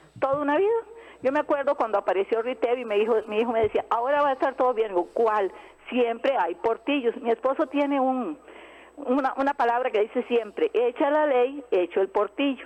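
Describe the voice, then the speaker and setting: A woman talks at a fairly quick pace. Her high voice shows ordinary pitch variation. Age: old. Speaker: caller, homemaker. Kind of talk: phone-in call.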